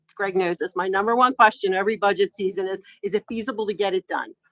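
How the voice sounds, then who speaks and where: A woman at medium pitch, fairly quick in pace, recorded with a dry, close sound and no echo. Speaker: township manager. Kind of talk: public meeting report. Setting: board meeting. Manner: fast.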